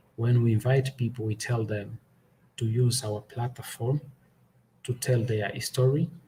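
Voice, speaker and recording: A man with a Portuguese accent speaks at a fairly slow pace in a medium pitch, with long, frequent pauses. His tone is dark, mellow and somewhat breathy, and his intonation is monotone and flat. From Angola. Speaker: podcaster. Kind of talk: testimony.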